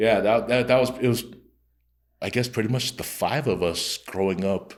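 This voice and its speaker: On a very clean recording with a silent background, a man speaks with a Tongan accent. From Utah, Rose Park, Salt Lake City. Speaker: comedian. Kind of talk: casual interview chat. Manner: casual, halting with repetitions.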